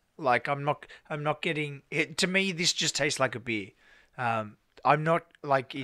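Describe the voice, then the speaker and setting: On a very clean recording with a silent background, a man with an Australian accent speaks at a fairly high pitch in a bright, sharp tone. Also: ordinary pitch variation, moderate pace. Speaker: podcast co-host. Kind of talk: casual chat.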